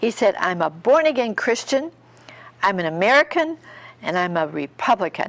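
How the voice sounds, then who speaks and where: A woman speaks at a moderate pace in a normal speaking voice. Her intonation is lively. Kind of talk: sermon-style preaching. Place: studio.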